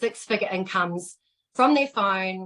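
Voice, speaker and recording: This speaker has a New Zealand accent and keeps to a fairly slow pace. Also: woman. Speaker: fitness instructor turned online entrepreneur. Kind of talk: testimony. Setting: Facebook live video call. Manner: animated.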